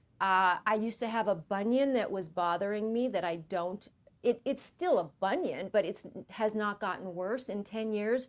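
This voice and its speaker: At a moderate pace, a woman with a medium pitch and ordinary pitch variation speaks in a plain, everyday voice. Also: very clean recording, silent background. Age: 60s. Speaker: Pilates instructor. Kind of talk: interview.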